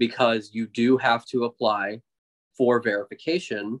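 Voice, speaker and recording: A man speaks at a moderate pace and medium pitch with an American accent. He has a normal speaking voice. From Texas. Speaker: podcast co-host. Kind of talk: casual chat.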